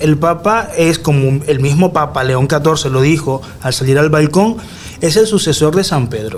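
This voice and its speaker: Against noticeable background noise, a man talks at a fairly slow pace with a fairly high pitch and lively intonation. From Nicaragua. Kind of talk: radio interview. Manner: conversational, with hesitations.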